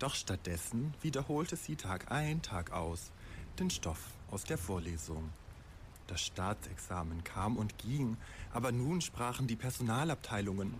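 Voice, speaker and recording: A somewhat breathy man's voice with very wide pitch swings and very even loudness. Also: medium pitch for a man, fairly slow pace. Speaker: storyteller. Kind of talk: bedtime story telling, a fairy tale with dark satirical twist. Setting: studio.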